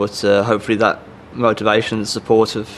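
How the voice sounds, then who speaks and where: The speaker talks in an English accent with a monotone, flat intonation. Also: man. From England, Birmingham. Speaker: professional cyclist. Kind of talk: interview.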